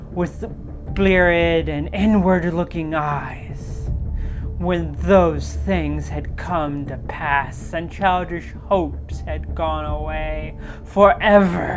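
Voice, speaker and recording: Through loud background noise, a woman performs a put-on character voice. She speaks at a very slow pace. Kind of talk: horror narration. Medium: virtual streamer. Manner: measured, atmospheric.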